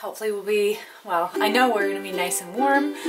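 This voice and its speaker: Loud music plays in the background. A woman talks at a very fast pace. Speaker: vlogger. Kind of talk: casual vlog chat. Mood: cheerful, excited. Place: home room. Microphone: phone near.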